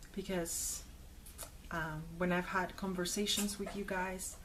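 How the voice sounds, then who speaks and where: Audible room echo surrounds a woman speaking at medium pitch. Her voice is somewhat breathy, with fairly even intonation. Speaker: video blogger. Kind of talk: personal commentary to camera.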